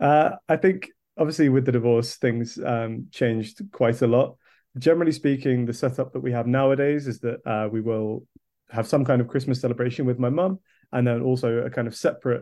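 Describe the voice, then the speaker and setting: With a southern English accent, a man talks at a fairly quick pace with fairly even intonation. His tone is dark and mellow, over a quiet background. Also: medium pitch for a man. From England, Kent. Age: 20s. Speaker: video producer. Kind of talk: podcast interview.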